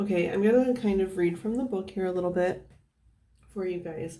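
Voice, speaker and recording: With audible room echo around her, a woman speaks at medium pitch in a dark, mellow tone. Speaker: tarot reader. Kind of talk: tarot reading to camera.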